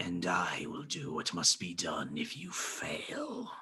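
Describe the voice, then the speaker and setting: A man's put-on, growling character voice at medium pitch and a fairly slow pace. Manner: eerie, echoing, ominous.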